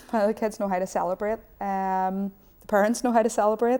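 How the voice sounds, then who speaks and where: A woman speaks with a Northern Irish accent. Her tone is dark and mellow. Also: very clean recording, silent background. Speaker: footballer and youth coach. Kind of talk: studio interview. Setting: TV studio.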